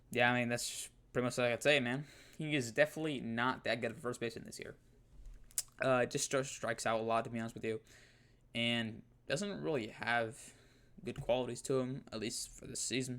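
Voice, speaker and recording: The speech moves at a very fast pace. Long pauses break it up often. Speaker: sports YouTuber. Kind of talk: casual commentary ranking video. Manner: halting, stuttering; casual, filler-heavy.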